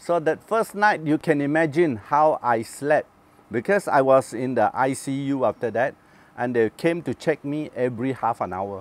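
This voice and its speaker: His voice sits at a fairly high pitch, with lively intonation at a moderate pace. The sound is dry and close, with no echo. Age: 60s. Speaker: cancer survivor. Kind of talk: testimony. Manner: halting.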